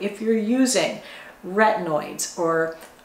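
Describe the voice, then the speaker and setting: Lively intonation carries over audible echo from the room. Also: woman. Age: 50s. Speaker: beauty YouTuber. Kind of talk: tutorial. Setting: home bathroom. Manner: animated. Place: bathroom.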